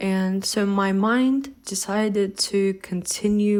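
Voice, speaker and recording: The speaker has a non-native accent. Pitch varies by an ordinary amount. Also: woman. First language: not English. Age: 20s. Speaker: vlogger. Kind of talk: personal testimony.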